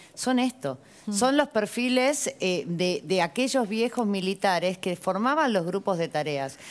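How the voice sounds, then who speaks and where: Speaking at a fairly slow pace, a woman uses lively intonation. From Argentina. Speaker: lawyer, former tax agency official; lawyer. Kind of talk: TV panel discussion. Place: studio. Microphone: lapel.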